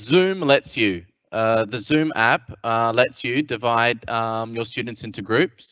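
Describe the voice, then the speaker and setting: A man with an Australian accent speaks at a very slow pace. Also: medium pitch for a man, ordinary pitch variation. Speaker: English teacher. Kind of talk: panel discussion. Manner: halting.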